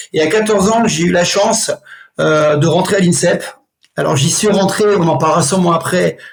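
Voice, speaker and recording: A man's high-pitched voice at a moderate pace, with ordinary pitch variation, very even loudness and audible room echo. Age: 60s. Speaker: martial arts instructor. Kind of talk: interview. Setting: podcast.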